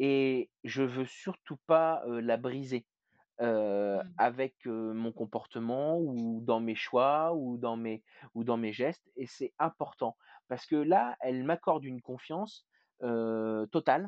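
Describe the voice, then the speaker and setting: Talking at a very slow pace, a man speaks at medium pitch. His pitch varies in an ordinary way. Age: 30s. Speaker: hospital care assistant and paternity leave campaigner. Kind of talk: interview. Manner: halting.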